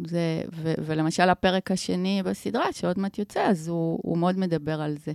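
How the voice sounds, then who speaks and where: A woman with an ordinary speaking voice talks at a moderate pace and a fairly low pitch, with ordinary pitch variation. She leaves hardly any pauses, and the sound is dry and close with no echo. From Israel, Omer. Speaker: filmmaker and video producer. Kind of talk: casual interview. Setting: podcast studio.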